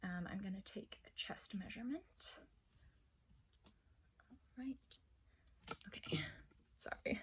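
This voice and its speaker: Very slow whispering from a woman, broken by long, frequent pauses. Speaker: armored combat practitioner. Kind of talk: ASMR roleplay. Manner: soft-spoken.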